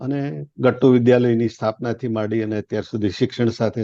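The dark, mellow voice of a man at medium pitch comes through with a dry, close sound and no echo. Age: 70s. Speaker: retired industrialist and education trust leader. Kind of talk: interview.

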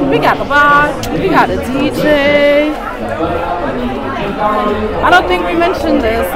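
Music playing behind a woman's moderately paced speech. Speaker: travel vlogger. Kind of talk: casual vlog chat. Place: hall. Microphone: lapel.

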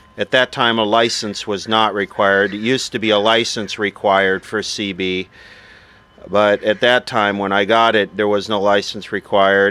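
A man's fairly low voice at a moderate pace, dry with no echo. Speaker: vintage radio collector. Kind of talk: casual show-and-tell narration. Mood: nostalgic, relaxed. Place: open country.

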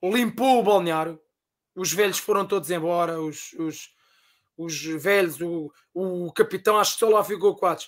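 With a European Portuguese accent, a man speaks at a fairly slow pace, pitched high, with ordinary pitch variation. Long, frequent pauses break up his speech against a quiet background. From Portugal. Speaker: football fan; guest. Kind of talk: casual chat. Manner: animated. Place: home room.

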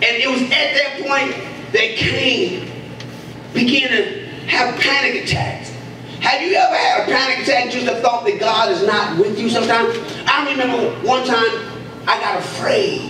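A man's raised, projected voice at a moderate pace, with audible room echo and light background noise. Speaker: preacher. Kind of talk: sermon. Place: church. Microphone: handheld.

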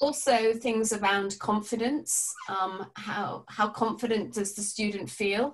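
A woman talks at a very slow pace. Her intonation is fairly even. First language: English (speaking Spanish). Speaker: palliative care educator. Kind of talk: webinar presentation. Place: home room. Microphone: webcam.

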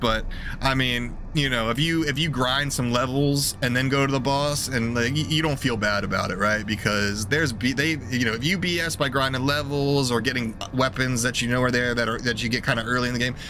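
A man at a fairly quick pace with hardly any pauses, fairly even intonation and very even loudness, the sound dry with no echo and noticeable background noise. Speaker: game streamer. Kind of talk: casual commentary. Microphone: headset.

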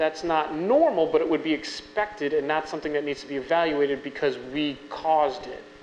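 A man with an American accent speaks with hardly any pauses, over light background noise and audible room echo. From Long Island, New York; New York. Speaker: physician; physician lecturer. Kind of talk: lecture. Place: hall. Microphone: podium.

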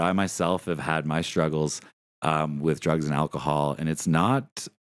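A man speaks with a Canadian accent. The sound is dry, with no echo. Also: quiet background. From Ottawa area, Ontario, Canada; Ontario, Canada. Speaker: podcast host. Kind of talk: casual chat. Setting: live-streamed recording. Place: home room. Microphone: studio mic.

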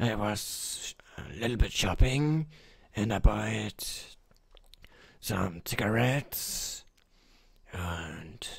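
Long, frequent pauses break up a man's put-on character voice, pitched in the medium range and delivered at a very slow pace. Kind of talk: comic overacting. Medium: machinima.

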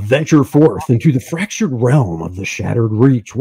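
A man performs a put-on character voice. It sits at a medium pitch and moves at a moderate pace. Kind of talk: dramatic, announcer-like.

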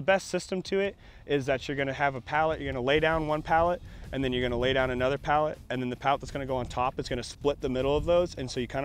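At a very fast pace, a man talks in a dry sound with no echo. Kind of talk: interview answer. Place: open country. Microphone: lapel.

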